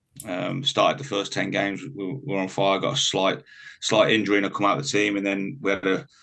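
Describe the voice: A man's low voice with vocal fry, fairly bright in tone, at a fairly quick pace.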